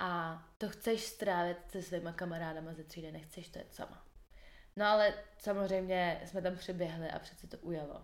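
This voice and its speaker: A woman talks at a moderate pace and a fairly low pitch. Her intonation is monotone and flat, with big swings in loudness. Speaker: podcast host. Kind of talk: casual chat.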